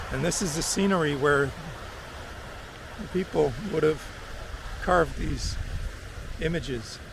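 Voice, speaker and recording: With long, frequent pauses, a man with a fairly high pitch talks at a fairly slow pace and ordinary pitch variation, amid audible room echo and noticeable background noise. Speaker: travel vlogger. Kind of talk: casual vlog narration. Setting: outdoors on a beach. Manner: loud.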